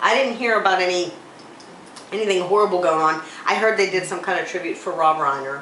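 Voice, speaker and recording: A woman speaks at a very fast pace yet leaves long, frequent pauses, with ordinary pitch variation. Audible room echo and noticeable background noise surround her voice. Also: medium pitch for a woman. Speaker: talk show co-host. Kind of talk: casual chat. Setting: local library. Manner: loud.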